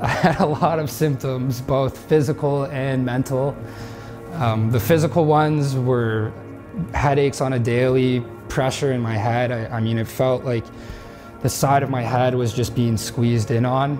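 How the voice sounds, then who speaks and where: Fairly even intonation in a Canadian accent at a moderate pace, with music in the background. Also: man, medium pitch for a man. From Toronto, Ontario, Canada. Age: 20s. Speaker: former youth hockey player. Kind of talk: personal story told to camera.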